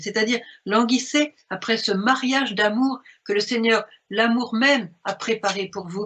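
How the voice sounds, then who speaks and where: Intonation is lively and a bit breathy. The delivery is fairly slow. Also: woman. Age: 70s. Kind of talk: spiritual talk commenting a message.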